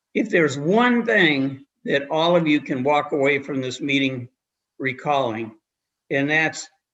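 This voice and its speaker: Lively intonation carries this man's fairly high voice in an American accent. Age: 70s. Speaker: lawyer giving legal training. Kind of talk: legal briefing to a commission. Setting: live-streamed public meeting. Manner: halting, many repeated words.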